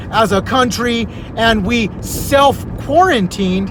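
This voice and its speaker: A man shouts loudly at an extremely high pitch in an animated tone. Noticeable background noise runs behind him. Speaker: community vlogger. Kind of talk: casual monologue. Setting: Facebook live video. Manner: loud, sounds like yelling.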